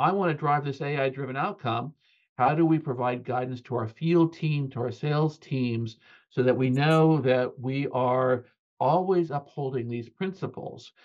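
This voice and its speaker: Against a quiet background, a man with an American accent talks at a moderate pace in a fairly high pitch with ordinary pitch variation. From US West Coast, California (Bay Area); California. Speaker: technology research architect; guest. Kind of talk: interview conversation. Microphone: webcam.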